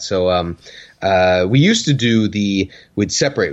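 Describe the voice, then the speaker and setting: His intonation is lively as the man speaks. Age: 30s. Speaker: podcast co-host. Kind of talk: casual chat. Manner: halting.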